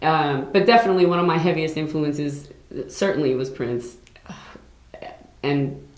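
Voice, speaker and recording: Audible room echo surrounds a woman with an American accent. She speaks at a moderate pace with ordinary pitch variation. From New York City. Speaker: singer. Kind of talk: interview.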